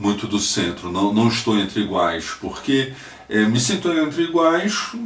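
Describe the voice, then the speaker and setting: With audible room echo and noticeable background noise, a man talks at a fairly slow pace and medium pitch, his pitch swinging very widely while his loudness stays very even. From Brazil, Northeast (Recife, Pernambuco). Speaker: lawyer, political activist. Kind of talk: personal testimony, video message. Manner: halting, many fillers and repetitions.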